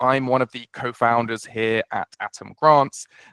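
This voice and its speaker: Speaking at a fairly slow pace with a British accent, a man has a medium pitch and a bright, sharp tone, recorded with a dry, close sound, no echo and a quiet background. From UK. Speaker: startup founder and CEO. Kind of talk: webinar presentation. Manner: hesitant, many fillers and repeats.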